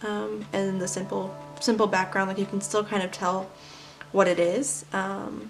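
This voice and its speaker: With music in the background, a woman speaks at a fairly slow pace, with a medium pitch and fairly even intonation. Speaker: artist. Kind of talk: casual voice-over of sketchbook flip-through. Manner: hesitant, many filler words.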